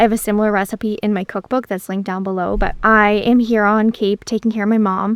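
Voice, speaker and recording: A woman's fairly high, monotone voice with flat intonation, very fast with hardly any pauses, in a dry, close sound with no echo and a very clean recording with a silent background. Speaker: dietitian and video blogger. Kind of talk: vlog monologue. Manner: casual.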